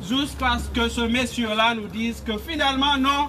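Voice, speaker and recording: A man's raised, projected voice at an extremely high pitch, fairly slow, with ordinary pitch variation and noticeable background noise. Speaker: political activist. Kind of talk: rally speech.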